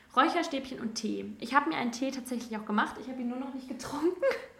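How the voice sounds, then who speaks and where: A woman talks very fast at a high pitch, with noticeable background noise and audible room echo. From Rhineland, Germany (between Cologne and Düsseldorf). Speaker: podcast host, student teacher. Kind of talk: solo monologue, casual personal talk. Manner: casual, many fillers.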